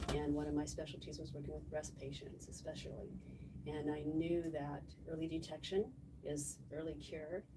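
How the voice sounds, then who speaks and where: Noticeable background noise and audible room echo accompany a woman talking at a moderate pace. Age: 60s. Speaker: patient, former dosimetrist. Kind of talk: interview testimony. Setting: live stream with microphones.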